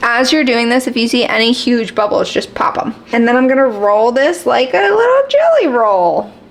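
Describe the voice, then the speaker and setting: A woman speaks at a high pitch and a moderate pace. Noticeable background noise runs underneath. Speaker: lifestyle vlogger. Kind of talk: tutorial. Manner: casual; quiet.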